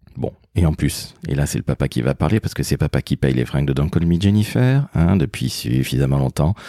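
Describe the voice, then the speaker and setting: A man's very deep, low voice with ordinary pitch variation at a moderate pace, with a dry, close sound with no echo and noticeable background noise. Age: 50s. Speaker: podcast host, father. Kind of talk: casual chat.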